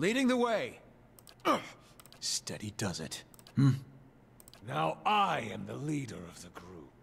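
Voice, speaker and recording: A man puts on a character voice at medium pitch. He goes at a fairly slow pace with long, frequent pauses. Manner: commanding, leader-like.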